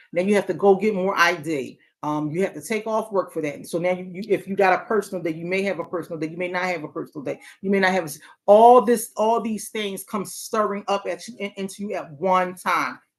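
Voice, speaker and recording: A woman at medium pitch, very fast and animated, with big swings in loudness and ordinary pitch variation. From Philadelphia, US. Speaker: mental health counselor and show host. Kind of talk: casual livestream talk on mental health. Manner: animated, conversational with repetitions.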